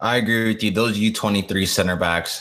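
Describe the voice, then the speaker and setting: Noticeable background noise surrounds a man speaking at a moderate pace with fairly even intonation. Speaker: university student and soccer podcast co-host. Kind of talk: casual podcast chat.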